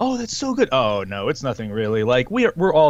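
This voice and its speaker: Lively intonation marks this fairly quick delivery. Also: man. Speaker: podcast co-host. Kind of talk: casual chat. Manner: loud.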